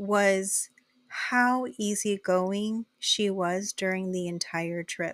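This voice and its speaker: The sound is dry and close with no echo as a woman speaks with an American accent. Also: very clean recording, silent background. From US-Mexico border area near Mexicali (Imperial Valley, California). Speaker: podcast host. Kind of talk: casual chat. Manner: animated.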